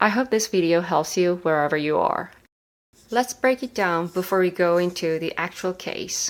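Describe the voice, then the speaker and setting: Speaking at a fairly slow pace in a Korean accent, the voice shows ordinary pitch variation in a very clean recording with a silent background. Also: woman. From South Korea. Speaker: medical resident and educational YouTuber. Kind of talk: tutorial.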